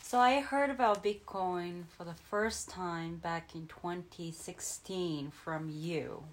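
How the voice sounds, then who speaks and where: A woman with a Japanese accent speaks at a fairly low pitch and a very slow pace. Her loudness swings widely, and she leaves hardly any pauses. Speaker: crypto podcast co-host. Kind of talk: casual chat.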